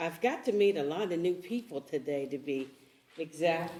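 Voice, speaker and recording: Music plays in the background as the words come at a fairly slow pace. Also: woman. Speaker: panelist. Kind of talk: panel discussion. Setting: church event with audience.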